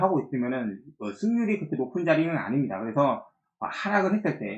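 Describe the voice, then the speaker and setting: A man talks with very wide pitch swings. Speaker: stock market commentator. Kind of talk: market analysis video. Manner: many filler sounds.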